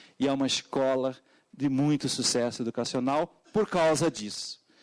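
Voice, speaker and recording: The voice carries a Portuguese accent and ordinary pitch variation. The recording is dry and close with no echo, over a quiet background. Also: man. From Portugal. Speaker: education consultant. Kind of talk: public hearing testimony. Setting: parliamentary committee hearing. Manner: halting, many fillers.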